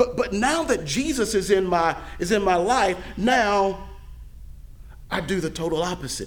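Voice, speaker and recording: A man speaks in a high voice with lively intonation, leaving long, frequent pauses. Noticeable background noise and audible room echo surround him. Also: moderate pace. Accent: American. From Mississippi, US South. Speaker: pastor. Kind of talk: sermon. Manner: halting, frequent word repetitions.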